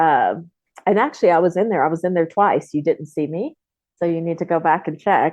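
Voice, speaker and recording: This woman has a plain, everyday voice, fairly low in pitch, with ordinary pitch variation. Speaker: film co-producer. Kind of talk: interview answer.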